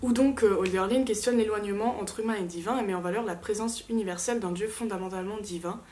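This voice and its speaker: Fairly quick and fairly even in intonation, a woman speaks at a medium pitch. Audible room echo surrounds her voice. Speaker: literature student youtuber. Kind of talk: rehearsed class presentation. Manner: fast; hesitant fillers.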